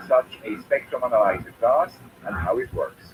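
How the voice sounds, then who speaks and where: Over noticeable background noise, a man speaks fairly slowly with a Swiss accent. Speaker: electronics YouTuber. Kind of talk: tutorial.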